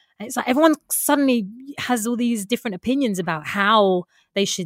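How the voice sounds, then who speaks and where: A woman with a plain, everyday voice talks at a fairly quick pace on a very clean recording with a silent background and a dry, close sound with no echo. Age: 20s. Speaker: actor. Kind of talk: casual chat.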